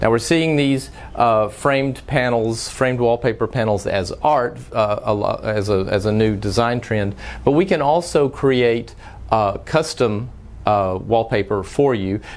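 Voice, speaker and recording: A man speaks fairly slowly with a Texas accent. His pitch is medium, with ordinary variation. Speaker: frame shop owner. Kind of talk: tutorial. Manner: frequent filler words, some halting.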